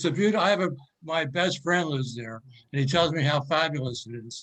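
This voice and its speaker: With an American accent, a man talks at a fairly quick pace in a fairly high, somewhat breathy voice. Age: 80s+. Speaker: participant in group discussion. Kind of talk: casual chat.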